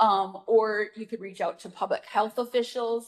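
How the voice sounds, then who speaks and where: Delivered at a moderate pace, a plain, everyday voice carries fairly even intonation. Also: woman. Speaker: parenting educator. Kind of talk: virtual presentation; Q&A answer.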